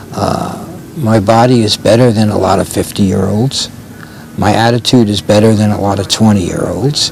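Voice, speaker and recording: His pitch is fairly low for a man, with fairly even intonation. Noticeable background noise sits behind the voice. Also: moderate pace. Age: 70s. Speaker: dancer and choreographer. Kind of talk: interview.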